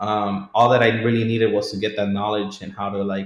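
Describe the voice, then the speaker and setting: The man's voice sits at a fairly low pitch. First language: not English. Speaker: realtor. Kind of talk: casual interview answer.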